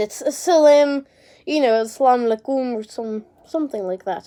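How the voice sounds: In a put-on character voice, a woman speaks at a moderate pace with a high, nasal pitch and ordinary pitch variation.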